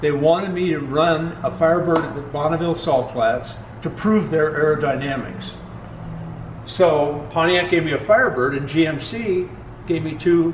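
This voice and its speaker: A man is speaking. Both noticeable background noise and audible room echo are present. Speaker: company founder and engine builder. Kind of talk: facility tour conversation.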